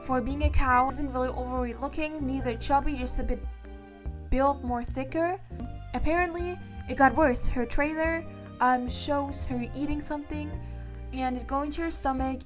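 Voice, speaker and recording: Music plays in the background while the voice moves at a moderate pace. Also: woman. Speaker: VTuber streamer. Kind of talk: casual opinion talk to camera. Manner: stuttering, hesitant.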